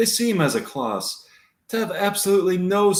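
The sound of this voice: An unforced reading voice moves with fairly even intonation over a quiet background.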